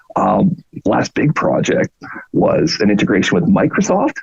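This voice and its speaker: With a Canadian accent, a man is talking. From Canada. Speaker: product marketing manager. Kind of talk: podcast interview. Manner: animated.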